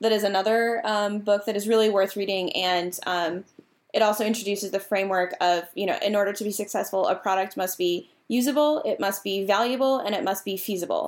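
On a very clean recording with a silent background, a woman uses a normal speaking voice at a medium pitch, talking at a fairly quick pace with fairly even intonation. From Massachusetts, US. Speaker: product manager. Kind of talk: casual interview chat.

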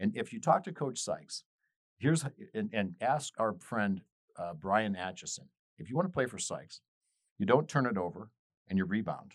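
Energetic in tone, a man speaks with very wide pitch swings and long, frequent pauses. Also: medium pitch for a man, moderate pace. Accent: American. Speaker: radio host. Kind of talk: casual sports talk radio banter. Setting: radio studio. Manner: energetic, amped up.

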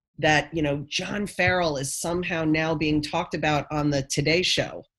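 With a normal speaking voice, a woman talks at a fairly slow pace in a fairly low pitch. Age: 50s. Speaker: nonprofit founder. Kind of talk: interview conversation.

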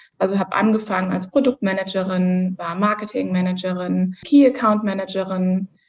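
A woman talks at a moderate pace in a medium pitch with hardly any pauses. Her voice is somewhat breathy and her intonation fairly even. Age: 30s. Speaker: corporate manager. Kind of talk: interview.

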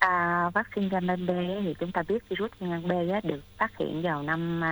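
A woman talks in a fairly low pitch. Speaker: doctor. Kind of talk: expert Q&A on health radio. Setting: radio studio. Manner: halting, many filler sounds.

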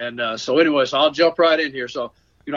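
A man talks with a Southern US accent. His pitch varies in an ordinary way. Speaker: storyteller. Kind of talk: storytelling. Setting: phone call.

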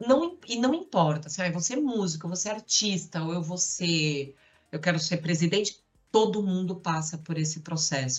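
A woman speaks in a fairly low, somewhat breathy voice. Her pace is moderate and her pitch varies in an ordinary way. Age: 40s. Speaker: marketing director. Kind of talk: casual chat.

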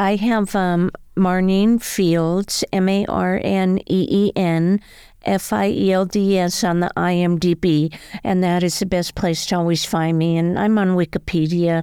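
Her medium-pitched voice has a dark, mellow tone as the woman speaks fairly slowly in a monotone, flat intonation, her loudness very even. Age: 60s. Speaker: actress, singer and former stunt woman. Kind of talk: interview.

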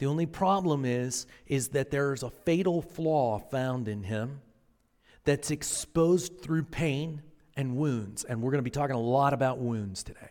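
A man with a fairly high pitch and a plain, everyday voice at a fairly slow pace, with ordinary pitch variation, in a very clean recording with a silent background. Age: 40s. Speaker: pastor. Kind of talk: sermon. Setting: church.

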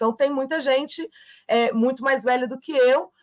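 A woman speaks at a moderate pace with a high pitch. The sound is dry and close, with no echo. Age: 30s. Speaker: trade union leader. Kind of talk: interview.

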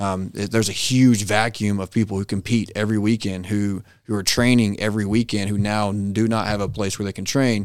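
A man speaks fairly quickly with a Texan accent, his fairly low voice flat and monotone. The recording is very clean, with a silent background. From US, Texas (northeast of Dallas). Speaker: business owner, veteran. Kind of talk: casual interview.

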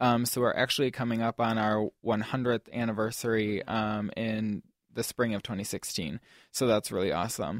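On a very clean recording with a silent background and a dry, close sound with no echo, a man with a normal speaking voice talks at a medium pitch and moderate pace, his intonation fairly even. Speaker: student activities board director. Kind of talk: interview answers. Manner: casual, filler-heavy with many ums.

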